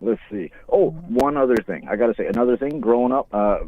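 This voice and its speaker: A man with a Newfoundland accent speaks at a medium pitch. His pace is moderate and his intonation lively. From Newfoundland, Canada. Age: 40s. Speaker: caller. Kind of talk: casual chat. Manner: animated.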